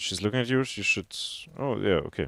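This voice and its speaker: The recording of a man with a non-native accent has a dry, close sound with no echo. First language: not English. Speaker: game coach. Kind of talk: gameplay review coaching.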